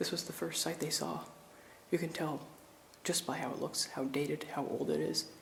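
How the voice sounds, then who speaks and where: Whispering quietly at a moderate pace, a man leaves long, frequent pauses. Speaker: urban explorer vlogger. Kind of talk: walkthrough vlog narration. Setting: inside abandoned building.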